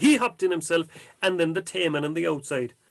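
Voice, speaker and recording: A man speaks in an Irish accent with a high pitch. His voice makes very wide pitch swings. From County Cork, Ireland. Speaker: storyteller. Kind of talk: traditional folk tale telling.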